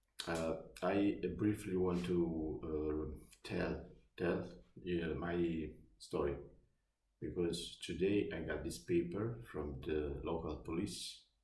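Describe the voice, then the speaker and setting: With an Italian accent, a man speaks in a very deep, low voice with a dark, mellow tone and vocal fry, and the room echo is audible. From Naples, southern Italy. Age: 50s. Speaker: vlogger. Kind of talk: personal testimony. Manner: halting, many fillers.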